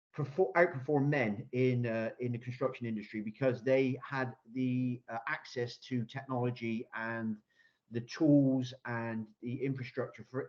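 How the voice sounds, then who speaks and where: Speaking with a Bristolian accent, a man uses a medium pitch, a fairly slow pace and fairly even intonation. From Bristol, South West England. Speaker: construction innovation consultant. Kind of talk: Q&A answer at online business pitch event. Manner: hesitant, many repetitions and fillers.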